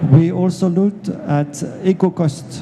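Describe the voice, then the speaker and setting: Amid noticeable background noise, a man with a French accent speaks with fairly even intonation. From France. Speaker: industry executive, panelist. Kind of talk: panel discussion. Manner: hesitant, many fillers.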